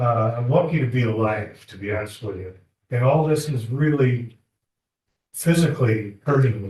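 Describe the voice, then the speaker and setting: A somewhat breathy man of medium pitch talks at a moderate pace with ordinary pitch variation and big swings in loudness, with room echo audible. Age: 70s. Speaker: defendant. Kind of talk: courtroom testimony. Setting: courtroom.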